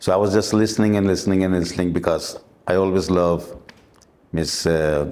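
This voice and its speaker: In a Pakistani accent, a man speaks with a very deep, low pitch, a dark, mellow tone and ordinary pitch variation, with audible room echo. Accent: South Asian (Pakistani) English. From Dubai, raised by Pakistani family. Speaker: musician and former limo driver. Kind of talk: interview, life story. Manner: halting, with fillers.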